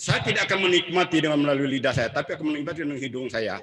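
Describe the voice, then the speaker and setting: A man speaks at a fairly high pitch. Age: 60s. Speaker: book discussion speaker. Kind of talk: public talk.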